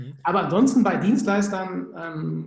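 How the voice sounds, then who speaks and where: A man speaks with a Cologne accent. Audible room echo surrounds his voice. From Germany, Cologne. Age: 30s. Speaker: sales psychologist. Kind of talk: podcast interview.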